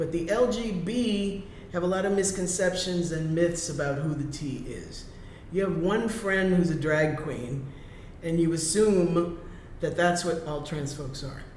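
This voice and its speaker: Speaking at a fairly slow pace with ordinary pitch variation, the voice carries audible room echo. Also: man, high pitch for a man. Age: 60s. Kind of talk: interview.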